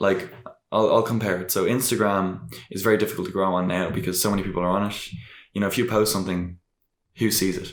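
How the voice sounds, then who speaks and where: A man's very deep, low voice with an Irish accent at a very fast pace, fairly even in intonation, in audible room echo. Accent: noticeable Irish. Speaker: podcast guest, rapper and vlogger. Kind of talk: casual interview chat. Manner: hesitant, many fillers and restarts.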